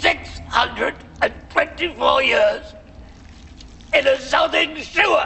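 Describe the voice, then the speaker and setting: A put-on character voice moves at a fairly slow pace. Clear background noise can be heard. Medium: comedy sketch. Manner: harsh, shrieking.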